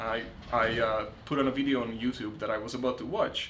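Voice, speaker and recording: A man with an American accent and a plain, everyday voice, his pitch varying in an ordinary way. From outside the US. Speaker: podcast host. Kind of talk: interview podcast. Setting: on location in a city.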